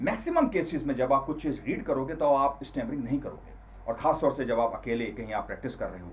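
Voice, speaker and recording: Talking at a moderate pace, a man's voice shows big swings in loudness. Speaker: self-improvement coach. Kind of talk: tutorial.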